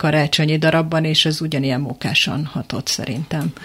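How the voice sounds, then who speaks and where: Over noticeable background noise, a woman speaks at a moderate pace in a fairly low pitch with fairly even intonation. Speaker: panel guest. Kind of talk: radio discussion.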